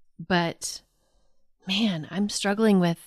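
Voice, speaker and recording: A woman with an American accent speaks at a very slow pace in a fairly low pitch. The sound is dry and close with no echo, on a very clean recording with a silent background. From Oklahoma, US. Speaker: host's wife, guest. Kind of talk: casual chat.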